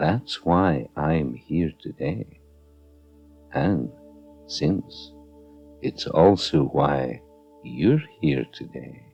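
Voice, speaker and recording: A man with a very deep, low pitch and lively intonation, at a very slow pace with long, frequent pauses, calm in tone, music playing in the background. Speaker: hypnotherapist. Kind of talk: guided meditation / hypnotherapy narration. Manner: slow, calm.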